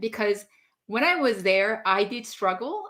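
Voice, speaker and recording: A woman with a non-native accent and ordinary pitch variation, on a very clean recording with a silent background. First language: not English. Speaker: leadership coach. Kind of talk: casual chat. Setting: live stream.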